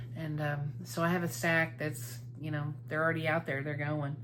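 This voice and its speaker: A woman speaks at a moderate pace in a very deep, low voice, with audible room echo and noticeable background noise. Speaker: cross-stitch video blogger. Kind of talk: casual chat. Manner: hesitant, many fillers.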